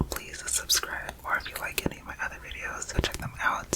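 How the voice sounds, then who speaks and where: Whispering from a woman amid noticeable background noise. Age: 20s. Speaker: ASMR creator. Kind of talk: ASMR storytime ramble. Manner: whispered, casual, rambling.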